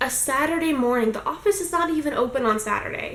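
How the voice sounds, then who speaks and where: Loud and fairly quick, a woman speaks with lively intonation amid audible room echo and noticeable background noise. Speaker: vlogger. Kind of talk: casual vlog monologue. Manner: fast.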